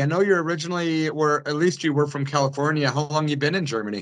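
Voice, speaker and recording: Over a quiet background, a man with a fairly high pitch talks at a very fast pace. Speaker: radio host; radio show host interviewer. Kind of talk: interview. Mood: friendly, fan-like. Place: home room. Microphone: video call.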